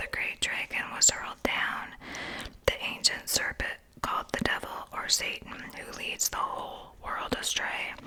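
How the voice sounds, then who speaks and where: At a fairly slow pace, a whispering voice comes through noticeable background noise. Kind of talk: ASMR whispered Bible reading. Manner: whispered.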